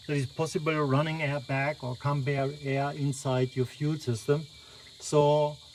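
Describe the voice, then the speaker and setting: Words come at a fairly slow pace. The speaker talks with a non-native accent. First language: not English. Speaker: car owner vlogger. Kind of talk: tutorial. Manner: halting.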